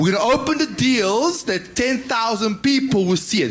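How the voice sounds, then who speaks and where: With a non-native accent, a man speaks at a moderate pace. The recording is very clean, with a silent background. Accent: foreign. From Serbia. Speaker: property investor. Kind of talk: audience pitch. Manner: halting.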